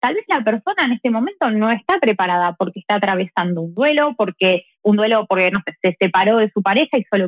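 With lively intonation, a woman speaks at a moderate pace in an Argentine accent. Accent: Argentine Spanish (Rioplatense). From Argentina. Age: 30s. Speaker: tarot reader. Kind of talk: casual interview.

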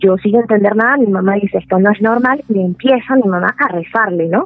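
With music in the background, a woman speaks fairly quickly in a Venezuelan accent, her fairly high pitch showing ordinary variation. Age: 30s. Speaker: storyteller sharing paranormal experience. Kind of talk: personal testimony.

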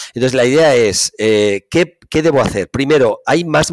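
An ordinary speaking voice with lively intonation at a moderate pace, in a dry, close sound with no echo. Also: man. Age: 50s. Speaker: physical education professor. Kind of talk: interview.

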